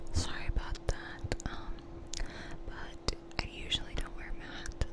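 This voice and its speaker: A woman whispering at a fairly slow pace amid noticeable background noise. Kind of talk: ASMR rambling video. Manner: soft-spoken, whispered; casual, chatty.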